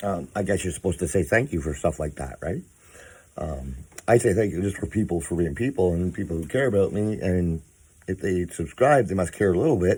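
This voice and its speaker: A man with a very deep, low pitch and a dark, mellow tone talks at a fairly quick pace with lively intonation and vocal fry, in a very clean recording with a silent background. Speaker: vlogger. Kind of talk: casual vlog monologue. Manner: halting, many fillers.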